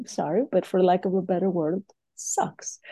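With a Greek accent, a woman speaks at a fairly slow pace. Her tone is dark and mellow, and somewhat breathy. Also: dry, close sound with no echo. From Greece. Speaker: leadership coach. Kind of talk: interview.

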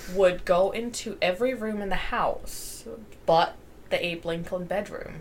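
At a fairly slow pace, a woman speaks at a medium pitch with ordinary pitch variation, and audible room echo fills the recording. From Germany. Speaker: podcast co-host. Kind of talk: casual chat.

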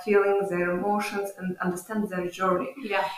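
At a moderate pace, a woman with a Ukrainian accent speaks at a medium pitch in monotone, flat intonation. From Ukraine. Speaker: visiting social work scholar. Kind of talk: interview. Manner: halting.

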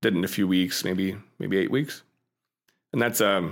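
In an American accent, the speaker talks at a moderate pace with fairly even intonation on a very clean recording with a silent background. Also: man. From Pittsburgh, US. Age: 30s. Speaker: video game studio founder. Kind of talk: interview.

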